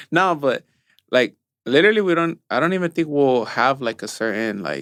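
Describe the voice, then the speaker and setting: A man with a Spanish accent at a moderate pace, lively in intonation, his sound dry and close with no echo, the recording very clean and the background silent. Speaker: podcast co-host. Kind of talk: casual chat.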